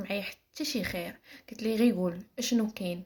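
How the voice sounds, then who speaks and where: A woman with a Moroccan accent speaks at a fairly quick pace and a fairly high pitch, somewhat breathy, with ordinary pitch variation. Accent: Moroccan Arabic (Darija). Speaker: storyteller. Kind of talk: personal story telling. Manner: casual, with hesitations.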